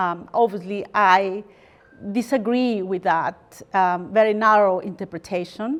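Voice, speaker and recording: With a Spanish accent, the speaker goes at a fairly slow pace with ordinary pitch variation. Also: woman, medium pitch for a woman. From Peru (Lima). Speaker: lawyer and guest lecturer. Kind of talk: lecture. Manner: hesitant, many fillers.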